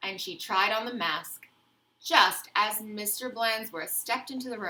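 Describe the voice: Someone is simply reading aloud, plainly.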